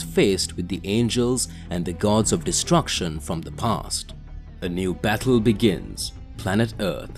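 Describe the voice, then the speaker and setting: A man's very deep, low voice, fairly slow, with very wide pitch swings and music in the background. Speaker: story narrator. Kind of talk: storytelling narration, voicing characters' lines.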